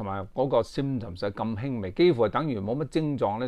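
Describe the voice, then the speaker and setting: A man talks fairly quickly with ordinary pitch variation against a quiet background. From Hong Kong. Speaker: YouTube commentator. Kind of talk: casual monologue to camera. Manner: halting, many fillers. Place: home room. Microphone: phone near.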